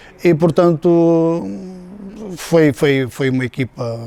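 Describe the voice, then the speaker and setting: Fairly slow delivery from a man in a dark, mellow tone, pitch varying in an ordinary way. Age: 60s. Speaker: former footballer. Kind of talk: interview testimony. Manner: halting, many fillers.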